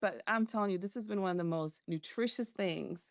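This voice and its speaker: Against a quiet background, a woman with an American accent speaks at a medium pitch with ordinary pitch variation. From Macon, Georgia. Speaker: organizational development consultant. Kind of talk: interview answer.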